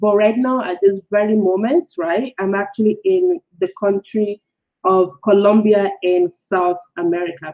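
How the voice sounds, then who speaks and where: Speaking with a Nigerian accent, a woman talks at a fairly slow pace with a medium pitch and ordinary pitch variation. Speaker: blogger and online course creator. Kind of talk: live webinar. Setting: live-streamed webinar, currently in Colombia. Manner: casual, filler-heavy.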